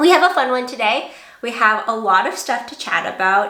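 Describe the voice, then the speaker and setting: A woman is speaking, with audible room echo. Noticeable background noise can be heard. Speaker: knitting podcaster. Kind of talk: casual chat. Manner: casual, filler-heavy.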